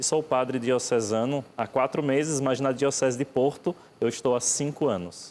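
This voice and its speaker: Speaking with a Pernambuco accent, a man keeps a medium pitch, fairly even intonation, very even loudness and a moderate pace. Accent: Pernambuco (Northeast Brazilian). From Brazil, Pernambuco (Northeast). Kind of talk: TV interview.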